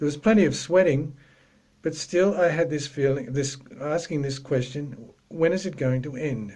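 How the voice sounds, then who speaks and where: A somewhat breathy voice at a fairly slow pace with lively intonation. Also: man. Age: 60s. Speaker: yoga practitioner giving a talk. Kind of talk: talk.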